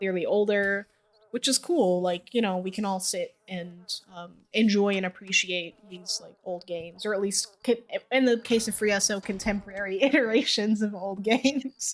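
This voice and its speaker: A woman with an American accent speaks at a moderate pace and a medium pitch, with ordinary pitch variation and big swings in loudness. It is a normal speaking voice. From US. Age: 20s. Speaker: streamer. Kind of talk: casual chat.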